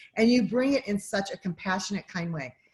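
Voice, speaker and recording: In an American accent, a woman at medium pitch sounds animated and somewhat breathy. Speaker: podcast host and mom mentor. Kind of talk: interview intro, casual chat.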